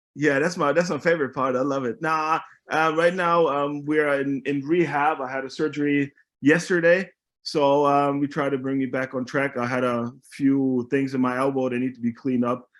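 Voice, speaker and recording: A fairly high-pitched man with a Bavarian accent, fairly even intonation and a moderate pace, in a very clean recording with a silent background. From Germany (Munich). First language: German. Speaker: American football player. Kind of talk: casual chat.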